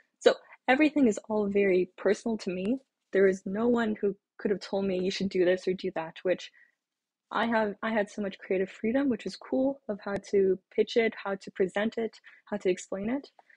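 A woman speaks at a moderate pace and medium pitch, her voice somewhat breathy. Her pitch variation is ordinary, and the background is quiet. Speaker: graduate school applicant / vlogger. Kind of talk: casual advice monologue. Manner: hesitant, with pauses and fillers. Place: home room. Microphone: webcam.

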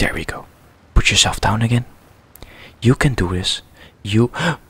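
A man talks quietly at a moderate pace with fairly even intonation and long, frequent pauses. The sound is dry, with no echo. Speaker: let's play gamer. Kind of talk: quiet gameplay commentary. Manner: quiet, hushed. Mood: calm, mildly frustrated. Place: home room.

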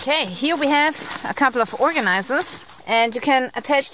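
The speech moves at a moderate pace. The sound is dry with no echo, over light background noise. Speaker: outdoor gear reviewer. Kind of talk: tutorial. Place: forest. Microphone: phone near.

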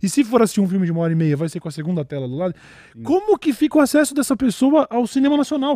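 Dark and mellow in tone yet extremely high in pitch, a man's voice races at a very fast pace with very wide pitch swings, the sound dry with no echo. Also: quiet background. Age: 30s. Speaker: podcast host. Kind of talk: casual chat. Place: studio. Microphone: studio mic.

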